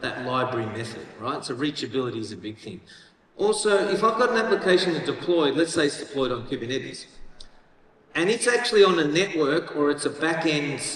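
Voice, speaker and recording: A man with an Australian accent talks at a fairly quick pace in a fairly high voice, with very wide pitch swings. Noticeable background noise and audible room echo are present. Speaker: tech company executive, keynote speaker. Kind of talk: conference keynote. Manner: casual, conversational.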